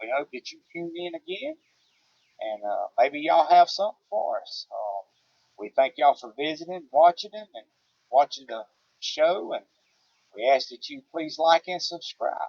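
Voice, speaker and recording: A man with a Southern US accent talks at a moderate pace, leaving long, frequent pauses. His loudness swings widely. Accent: Southern twang. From US South. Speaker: homesteader. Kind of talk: casual chat. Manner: halting.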